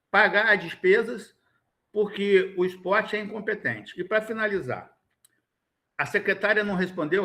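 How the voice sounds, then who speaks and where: A man's raised, projected voice, high in pitch with a bright, sharp tone. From Rio de Janeiro state (Niterói / São Gonçalo). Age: 60s. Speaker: education funding council member. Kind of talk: formal meeting discussion. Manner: emphatic, animated.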